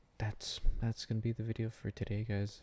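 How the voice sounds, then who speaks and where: A man's fairly low, somewhat breathy voice with a dark, mellow tone at a moderate pace, on a very clean recording with a silent background. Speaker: vlogger. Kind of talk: casual monologue. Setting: at home at night. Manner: soft-spoken.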